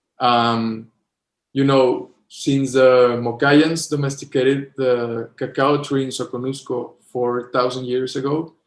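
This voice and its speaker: This man speaks very slowly, his intonation flat and monotone throughout. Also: medium pitch for a man. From Mexico. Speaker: chocolate company co-founder. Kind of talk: interview. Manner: halting.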